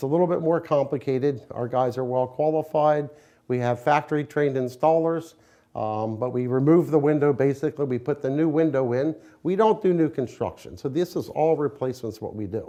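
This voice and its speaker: A man with an American accent speaks at a fairly quick pace in a fairly high pitch, his tone dark and mellow, with ordinary pitch variation. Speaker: window company owner or representative. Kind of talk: casual interview answer.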